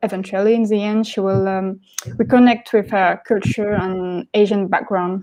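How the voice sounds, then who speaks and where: In a French accent, a woman speaks at a medium pitch with a dark, mellow tone and fairly even intonation against a quiet background. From France, Paris. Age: 20s. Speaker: graphic novelist. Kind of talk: panel discussion. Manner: halting.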